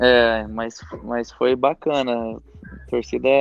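This is a man speaking. His pitch is medium. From Brazil, Minas Gerais (Monte Sião). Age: 20s. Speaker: professional footballer. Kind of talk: casual interview. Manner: halting, many repetitions and fillers.

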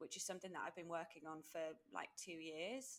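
A woman speaks with an English accent. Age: 30s. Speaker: podcast co-host, life coach. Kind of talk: casual chat.

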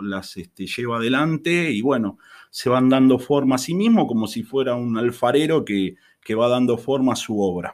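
A man's ordinary speaking voice, medium in pitch, at a moderate pace with ordinary pitch variation. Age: 50s. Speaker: chemistry teacher. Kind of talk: casual interview.

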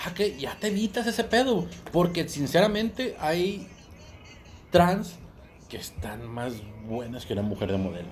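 In a Mexican accent, the speaker talks fairly slowly with very wide pitch swings and long, frequent pauses, over background music and audible room echo. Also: man. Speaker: podcast co-host. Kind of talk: casual chat. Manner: animated.

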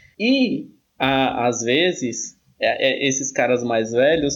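Very slowly, a man speaks with a medium pitch. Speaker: retired systems analyst, student. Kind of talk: casual chat. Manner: talkative.

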